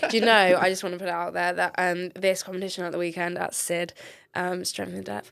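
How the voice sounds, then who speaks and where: A woman with a southern English accent speaks fairly quickly in a fairly low voice. The recording is very clean with a silent background. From England, Devon. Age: 30s. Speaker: ICU nurse and CrossFit coach. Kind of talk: podcast interview. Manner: animated.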